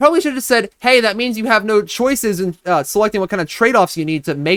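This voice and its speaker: Heard dry and close with no echo, a man talks at a very fast pace in a high pitch with very wide pitch swings. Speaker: YouTuber reviewing own videos. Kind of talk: casual video commentary. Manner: halting.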